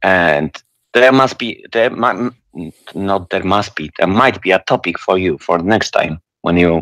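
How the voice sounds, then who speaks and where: A man with a non-native accent speaks at a fairly slow pace in a very deep, low pitch. The sound is dry and close with no echo, and his pitch varies in an ordinary way. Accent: foreign, non-English. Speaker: caller. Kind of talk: call-in debate. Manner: halting.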